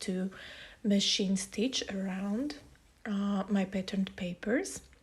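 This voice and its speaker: Here a woman speaks with a non-native accent. Her pace is fairly slow. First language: not English. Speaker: scrapbooking youtuber. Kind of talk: tutorial. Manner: hesitant, many fillers.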